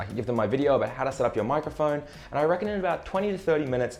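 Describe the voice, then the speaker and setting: Music plays in the background. A man speaks over it with lively intonation. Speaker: streaming tech youtuber. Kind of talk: tutorial.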